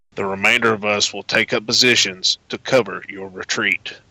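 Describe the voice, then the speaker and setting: In a put-on character voice, a man talks at a moderate pace with monotone, flat intonation and fairly low pitch, the sound dry and close with no echo. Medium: audio drama. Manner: terse, businesslike.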